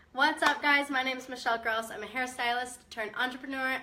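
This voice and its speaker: A high-pitched woman speaks at a fairly quick pace against noticeable background noise. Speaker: hairstylist turned entrepreneur, mindset coach. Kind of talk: live video talk to viewers. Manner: casual, chatty.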